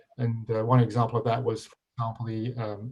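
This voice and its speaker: A man with an English accent speaks at medium pitch and a moderate pace, his dark, mellow tone somewhat breathy. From England. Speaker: pension fund executive. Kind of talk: panel talk. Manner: halting, many fillers.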